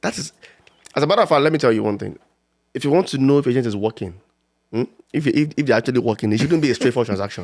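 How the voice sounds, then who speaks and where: A very fast, animated man's voice at medium pitch, with ordinary pitch variation and long, frequent pauses. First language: not English. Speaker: real estate agent. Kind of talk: casual chat.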